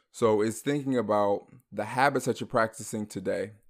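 A man's normal speaking voice, fairly low-pitched, at a moderate pace, in a very clean recording with a silent background. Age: 20s. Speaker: podcast host. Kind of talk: casual chat.

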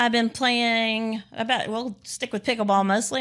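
A woman's ordinary speaking voice in an American accent, fairly high in pitch and fairly even in intonation, on a very clean recording with a silent background. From Texas, Dallas area. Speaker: pickleball player and coach. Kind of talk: casual interview.

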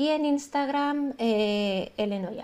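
A woman is talking. Her pitch variation is ordinary. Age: 30s. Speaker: illustrator. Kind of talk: interview.

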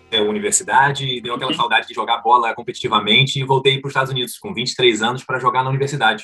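A man races along very fast with ordinary pitch variation as noticeable background noise runs beneath. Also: medium pitch for a man, hardly any pauses. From Rio de Janeiro, Brazil. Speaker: football coach. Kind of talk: interview.

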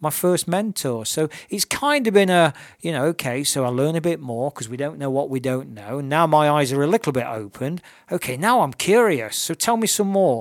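Lively intonation marks this man's fairly high-pitched voice in an East Midlands accent. He speaks at a moderate pace on a very clean recording with a silent background. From Nottingham, England. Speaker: purpose mentor. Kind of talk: interview. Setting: radio studio.

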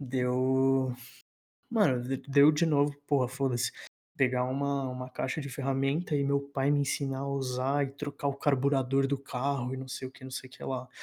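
The man's tone is dark and mellow. His intonation is monotone and flat. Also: medium pitch for a man, moderate pace. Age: 20s. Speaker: university student podcast co-host. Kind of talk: casual chat.

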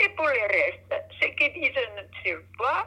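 A woman at a very slow pace. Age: 80s+. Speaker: grandmother. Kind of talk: casual chat.

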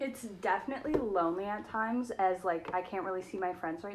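A woman with a normal speaking voice talks at a fairly quick pace and a medium pitch. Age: 18. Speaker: university student. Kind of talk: casual chat.

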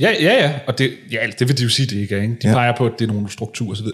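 Very fast speech from a man, intonation fairly even. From North Zealand, Denmark (Hillerød). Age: 30s. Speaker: author and political consultant. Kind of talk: interview conversation.

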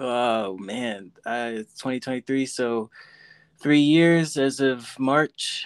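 Recorded very cleanly against a silent background, with a dry, close sound and no echo, a man with an American accent talks at a very slow pace, medium in pitch with ordinary pitch variation. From based in Denver. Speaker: recording artist, podcast guest. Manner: relaxed, slow, casual.

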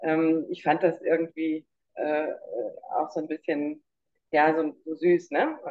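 A woman speaks at a very slow pace with a very deep, low pitch. Her intonation is monotone and flat, broken by long, frequent pauses. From Munich, Bavaria. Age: 50s. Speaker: survivor of narcissistic abuse. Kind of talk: interview testimony.

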